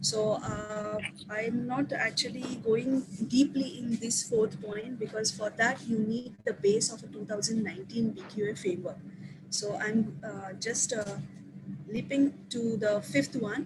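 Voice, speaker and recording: An ordinary speaking voice from a woman, fairly high in pitch with ordinary pitch variation and a fairly slow pace. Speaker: teacher presenting to colleagues. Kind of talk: online staff training presentation. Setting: video call.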